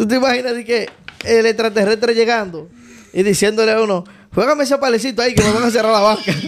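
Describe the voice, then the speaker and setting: With a Dominican accent, a man with a high voice talks at a very fast pace and fairly even intonation over noticeable background noise. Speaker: podcast co-host. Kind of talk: casual chat.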